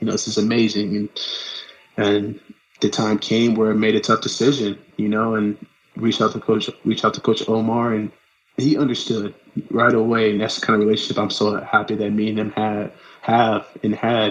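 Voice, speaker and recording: In an American accent, a man talks at a fairly low pitch with monotone, flat intonation. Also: moderate pace. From Los Angeles, California. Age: 30s. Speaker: runner. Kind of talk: casual chat.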